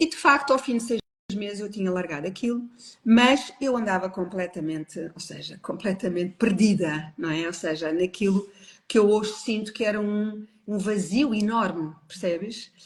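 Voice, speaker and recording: A woman with lively intonation in a European Portuguese accent. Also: medium pitch for a woman, moderate pace. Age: 60s. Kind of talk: personal testimony in a live interview. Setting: online live stream.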